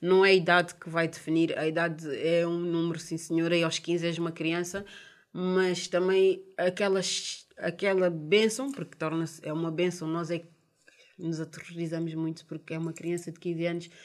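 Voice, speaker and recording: A woman's fairly low voice, monotone and flat in intonation, at a moderate pace with big swings in loudness. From Portugal, of Cape Verdean and Guinean parents. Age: 30s. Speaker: mother of five sharing her life story. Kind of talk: personal testimony.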